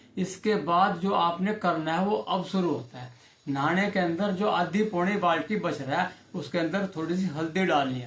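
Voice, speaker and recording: Noticeable background noise accompanies a man speaking at a high pitch with ordinary pitch variation. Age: 60s. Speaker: ayurvedic health advisor. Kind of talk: informal health tutorial.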